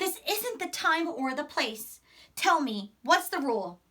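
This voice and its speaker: A woman uses a put-on character voice at an extremely high pitch. She speaks fairly slowly. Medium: read story. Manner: calm, patient.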